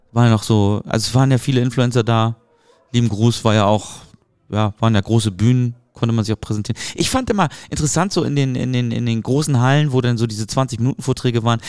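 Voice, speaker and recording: A man speaks in a normal speaking voice at a medium pitch. He moves at a fairly quick pace with ordinary pitch variation. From Hamburg, northern Germany. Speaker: marketing podcast host. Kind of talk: casual chat.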